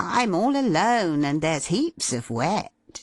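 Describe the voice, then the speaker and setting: Using a put-on character voice, a man speaks fairly slowly at a high pitch with very wide pitch swings, in a dry, close sound with no echo. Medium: read story. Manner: breezy, hearty.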